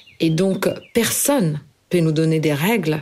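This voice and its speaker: This woman has a fairly low pitch. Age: 30s. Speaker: cookbook author. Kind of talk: personal testimony. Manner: halting.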